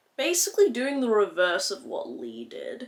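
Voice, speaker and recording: The speaker talks at a moderate pace in an Australian accent. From Western Australia. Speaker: beauty vlogger. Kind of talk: makeup tutorial, casual chat. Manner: animated.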